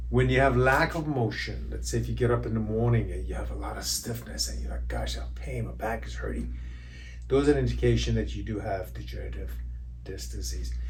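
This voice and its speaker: There is audible room echo and noticeable background noise as a man speaks. His very deep, low voice stays monotone and flat at a fairly quick pace. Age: 60s. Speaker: chiropractor. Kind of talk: educational explainer. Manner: halting, many fillers.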